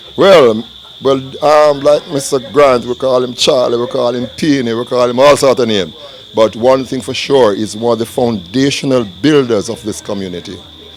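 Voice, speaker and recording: A man speaks at a medium pitch and a moderate pace, with ordinary pitch variation. Noticeable background noise runs behind him. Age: 60s. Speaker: community elder. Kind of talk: interview.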